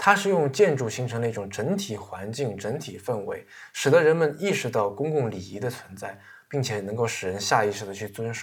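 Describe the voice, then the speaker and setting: Over a very clean recording with a silent background, a man with a somewhat breathy, medium-pitched voice speaks at a fairly quick pace, with big swings in loudness. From China. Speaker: podcast host. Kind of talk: casual monologue about books. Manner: many filler sounds.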